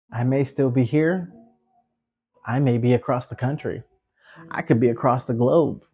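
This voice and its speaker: A man speaks at a moderate pace in a medium-pitched, somewhat breathy voice with a dark, mellow tone. His intonation is fairly even, broken by long, frequent pauses. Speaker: podcast host. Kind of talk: solo pep talk, guided-meditation-style close-your-eyes moment.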